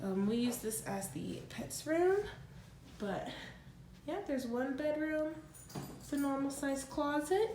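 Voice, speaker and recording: A woman's high voice moves in very wide pitch swings at a fairly slow pace with long, frequent pauses, amid audible room echo and noticeable background noise. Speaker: vlogger. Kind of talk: home tour vlog. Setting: empty house at night, handheld. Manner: casual with many fillers.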